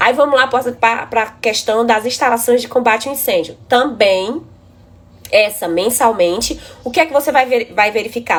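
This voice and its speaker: A woman's fairly high-pitched voice, a normal speaking voice, with ordinary pitch variation at a moderate pace. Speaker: building inspection engineer. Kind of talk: live stream presentation. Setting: live stream.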